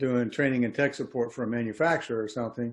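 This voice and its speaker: A man has a normal speaking voice with fairly even intonation. He speaks at a fairly quick pace against a quiet background. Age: 60s. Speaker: HVAC technician and trainer. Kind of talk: interview.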